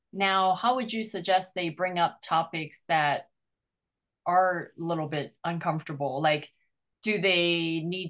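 A woman with a plain, everyday voice, a fairly low pitch and a fairly slow pace, against a quiet background. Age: 50s. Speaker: podcast host and matchmaker. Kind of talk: interview.

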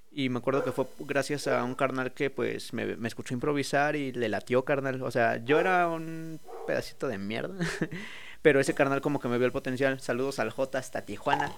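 The man has a medium pitch and fairly even intonation. He talks at a moderate pace. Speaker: freestyle rapper. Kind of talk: casual chat.

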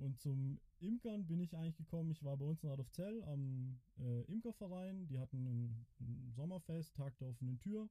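This man has a dark, mellow tone, a fairly high pitch and a somewhat breathy quality, with lively intonation and very even loudness. He goes at a moderate pace with hardly any pauses, the sound dry and close with no echo. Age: 30s. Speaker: beekeeper and farmer. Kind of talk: casual interview.

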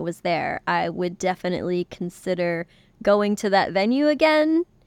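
A woman with an ordinary speaking voice talks at a moderate pace in a medium pitch, dry and close with no echo, in a very clean recording with a silent background. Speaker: podcast co-host. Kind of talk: casual chat.

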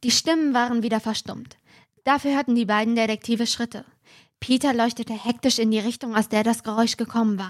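Someone is reading aloud in a natural voice, with fairly even intonation, against a quiet background.

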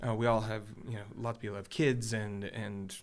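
Recorded very cleanly with a silent background, a man with an American accent uses a normal speaking voice at medium pitch with fairly even intonation. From Michigan. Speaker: worship pastor, podcast co-host. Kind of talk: casual chat.

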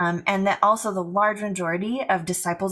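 In an American accent, a woman talks at a medium pitch with fairly even intonation, in a plain, everyday voice. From US Pacific Northwest. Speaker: church planter. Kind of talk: casual interview.

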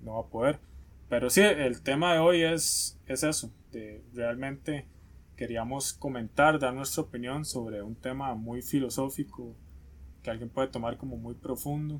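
At a fairly slow pace, a man with a Costa Rican accent speaks at a medium pitch with ordinary pitch variation and big swings in loudness. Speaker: podcast co-host. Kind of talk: casual chat.

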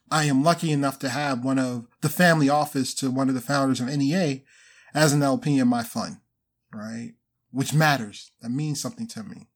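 In a very clean recording with a silent background, an unremarkable speaking voice goes along fairly quickly, its pitch varying in an ordinary way. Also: man, fairly high pitch for a man. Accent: American. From Baltimore, Maryland. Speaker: venture capital investor. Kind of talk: casual interview.

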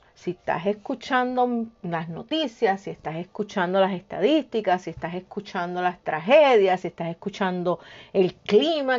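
Talking at a fairly slow pace, a woman with a medium pitch moves through very wide pitch swings. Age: 50s. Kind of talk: devotional talk. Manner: informal, direct address to listener.

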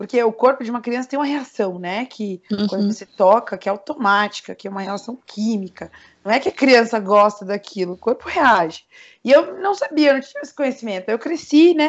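A woman with an unremarkable speaking voice talks at a fairly quick pace. Her pitch is fairly high and her intonation lively. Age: 20s. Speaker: digital marketing entrepreneur. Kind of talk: personal testimony in podcast interview.

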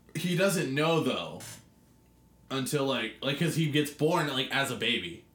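Fairly slow speech with ordinary pitch variation and very even loudness, over noticeable background noise. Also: man, fairly high pitch for a man. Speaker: podcast co-host. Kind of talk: casual banter.

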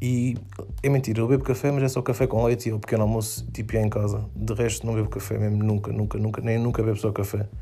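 Noticeable background noise sits behind a man's voice. He talks at a very fast pace with a fairly low pitch. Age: 20s. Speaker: podcast host. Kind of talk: casual monologue. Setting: home bedroom at night. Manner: animated.

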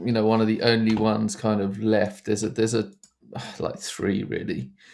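A man with a fairly low pitch speaks in an Essex accent. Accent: southern English (Essex). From Essex, England. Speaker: documentary filmmaker. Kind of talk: interview. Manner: halting, many fillers.

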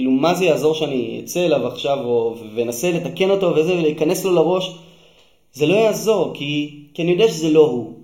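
A man with a fairly high voice talks at a fairly quick clip, with audible room echo and noticeable background noise. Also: ordinary pitch variation. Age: 30s. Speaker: musician and musical creator. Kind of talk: interview.

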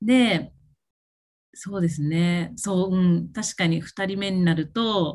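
At a very slow pace, a woman talks with medium pitch and ordinary pitch variation. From Japan, Okinawa. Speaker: self-care coach. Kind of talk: casual chat. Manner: halting, many fillers.

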